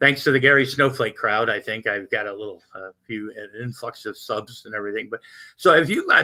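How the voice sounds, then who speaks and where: At a moderate pace, a man talks with lively intonation and a bright, sharp tone. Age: 60s. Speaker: livestream host. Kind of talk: casual chat. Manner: rambling with frequent fillers and repetitions.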